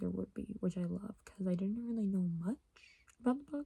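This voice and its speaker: Quiet, somewhat breathy woman's voice, dark and mellow in tone, with fairly even intonation and a dry, close sound with no echo. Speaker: book vlogger. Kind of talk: casual vlog. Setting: at home. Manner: rambling, filler-heavy; speaking quietly.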